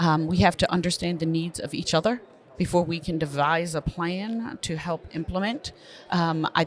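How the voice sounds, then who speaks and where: A woman talks in an American accent with a fairly low pitch. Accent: Baltimore accent, staff say she talks funny. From Baltimore, Maryland. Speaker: school superintendent. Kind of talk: podcast interview. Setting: conference venue.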